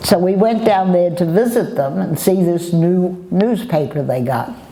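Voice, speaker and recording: Over noticeable background noise, a woman at a medium pitch talks at a fairly slow pace with lively intonation. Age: old. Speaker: war bride. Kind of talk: interview answer.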